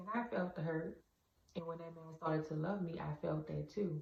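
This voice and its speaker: A woman speaks at a moderate pace in a very deep, low voice with a dark, mellow tone and some breathiness. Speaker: vlogger. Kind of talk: casual monologue. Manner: halting.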